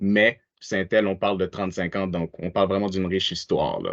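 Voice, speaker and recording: Against a quiet background, a man with a fairly low pitch speaks at a moderate pace in a monotone, flat delivery, the sound dry and close with no echo. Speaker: webinar presenter. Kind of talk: webinar presentation.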